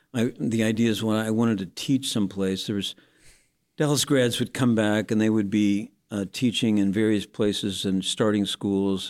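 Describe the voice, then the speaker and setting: A man with a US Midwestern accent at a fairly low pitch and with fairly even intonation, on a very clean recording against a silent background. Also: moderate pace. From Indiana, US Midwest. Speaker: pastor. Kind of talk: casual interview, telling his life story.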